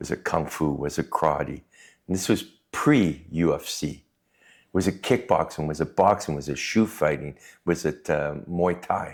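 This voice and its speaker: On a very clean recording with a silent background, a man with a Canadian accent speaks at a moderate pace in a very deep, low pitch with ordinary pitch variation. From Canada, Cree Métis community. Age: 60s. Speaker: martial artist and prison guard. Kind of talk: casual chat.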